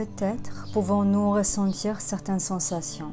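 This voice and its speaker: A woman's calm voice with a Polish accent at a very slow pace, music in the background. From Poland. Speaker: sophrologist, hypnotherapist. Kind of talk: guided relaxation session. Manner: calm, slow, soft-spoken.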